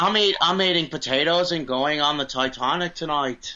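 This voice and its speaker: It's a put-on character voice with a nasal quality. The pace is moderate. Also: man, fairly high pitch for a man. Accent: Irish. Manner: bad, comedic.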